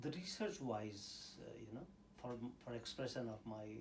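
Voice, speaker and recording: A man's somewhat breathy voice in an Indian accent, at a medium pitch and a moderate pace, with audible room echo. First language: Indian language; English is third language. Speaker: scientist and university teacher. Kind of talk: interview. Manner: hesitant, many fillers.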